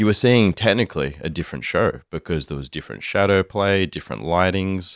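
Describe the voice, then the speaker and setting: A very deep, low-pitched man with an Australian accent and vocal fry, at a fairly quick pace with hardly any pauses, on a very clean recording with a silent background. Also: ordinary pitch variation, dry, close sound with no echo. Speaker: bonsai enthusiast. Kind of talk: casual chat.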